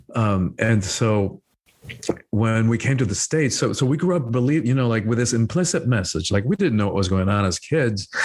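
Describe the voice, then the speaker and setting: A man with an American accent has a normal speaking voice at medium pitch, with lively intonation, very even loudness and a moderate pace. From Cuba, then rural Georgia (US). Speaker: spiritual teacher and author. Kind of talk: podcast interview. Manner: many fillers and repetitions.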